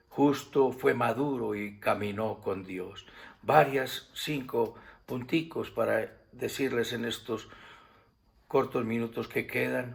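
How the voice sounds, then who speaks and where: The pace is very slow. A man speaks at a medium pitch. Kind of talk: sermon / Bible teaching to camera. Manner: warm, affectionate.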